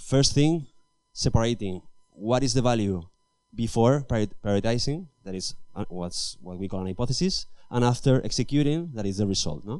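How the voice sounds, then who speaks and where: Lively intonation marks this man's medium-pitched voice with a dark, mellow tone. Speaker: engineering manager giving a talk. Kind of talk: conference talk. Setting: stage with audience. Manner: fast; halting, with false starts.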